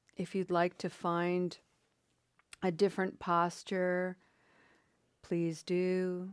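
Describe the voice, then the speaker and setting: Very slowly and with long, frequent pauses, a woman speaks at a medium pitch in a calm, soothing tone with flat, monotone intonation. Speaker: meditation facilitator. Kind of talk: guided meditation. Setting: video call. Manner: calm, soothing, unhurried, gentle; warm, welcoming.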